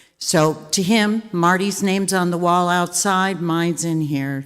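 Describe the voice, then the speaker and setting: With music in the background, a woman speaks very slowly at a fairly low pitch, her intonation fairly even and her pauses few. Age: 60s. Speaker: arts donor. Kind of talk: ceremony speech. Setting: theater with audience.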